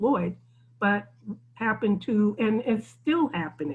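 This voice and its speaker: Somewhat breathy, a woman speaks at a very slow pace. Her pitch sits in the medium range. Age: 60s. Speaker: community technology center leader. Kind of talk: group discussion on video call. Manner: halting, many fillers and restarts.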